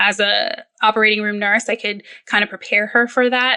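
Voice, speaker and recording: A woman speaks in a fairly high voice with a bright, sharp tone. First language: Spanish. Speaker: perioperative nurse and children's book author. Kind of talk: podcast interview.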